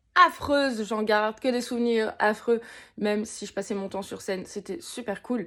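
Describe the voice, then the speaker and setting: A woman at a fairly high pitch with lively intonation and an animated tone, at a fairly slow pace, on a very clean recording with a silent background. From Moselle, eastern France. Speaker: vlogger and singer. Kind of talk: casual vlog monologue.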